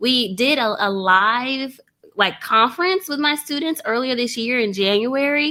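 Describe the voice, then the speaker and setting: A woman's high, animated voice with lively intonation and a Texas accent. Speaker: online trading course creator. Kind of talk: interview. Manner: fast.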